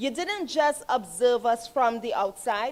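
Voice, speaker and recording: In a Trinidadian accent, a woman speaks at a high pitch with lively intonation. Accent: Trinidad and Tobago English. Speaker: health authority official. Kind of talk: ceremony speech. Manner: animated.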